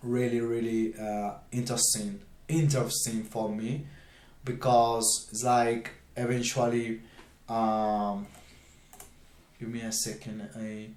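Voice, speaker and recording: A man with a non-native accent speaks very slowly in a monotone, flat voice, leaving long, frequent pauses amid audible room echo. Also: medium pitch for a man. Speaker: YouTuber, political and theology commentator. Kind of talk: casual vlog monologue. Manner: halting, many fillers and repetitions.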